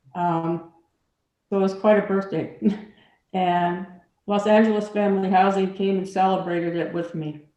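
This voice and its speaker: A woman's medium-pitched voice with a dark, mellow tone, flat and monotone, at a moderate pace with long, frequent pauses and audible room echo. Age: 70s. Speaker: formerly homeless resident. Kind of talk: testimony.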